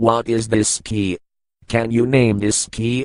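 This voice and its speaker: A man's put-on character voice, medium in pitch and flat in intonation, at a fairly slow pace. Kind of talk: software tutorial voice. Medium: comedy sketch. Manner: stilted, mechanical.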